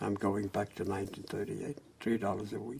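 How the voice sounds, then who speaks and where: A man talks in a fairly low pitch with monotone, flat intonation. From Germany, near Frankfurt. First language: German. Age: 80s+. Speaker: Holocaust survivor. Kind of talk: oral history interview.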